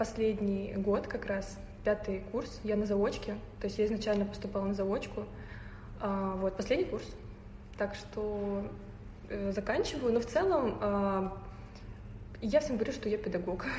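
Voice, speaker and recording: Against noticeable background noise and audible room echo, a woman speaks at a medium pitch with fairly even intonation and long, frequent pauses. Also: fairly slow pace. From Tatarstan, Russia (Naberezhnye Chelny). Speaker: photographer. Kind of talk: casual interview.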